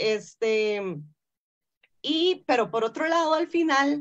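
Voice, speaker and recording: With a quiet background, a woman speaks using very wide pitch swings. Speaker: forum moderator. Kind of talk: film discussion forum. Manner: halting, repetitive. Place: home room. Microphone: video call.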